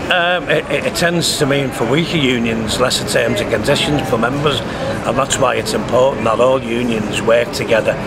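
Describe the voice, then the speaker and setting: A man with a Liverpool accent talks at a medium pitch and a moderate pace, with hardly any pauses. His loudness stays very even and his pitch varies in an ordinary way over noticeable background noise. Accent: Scouse. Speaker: trade union spokesperson. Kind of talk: interview answer. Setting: outdoors, street.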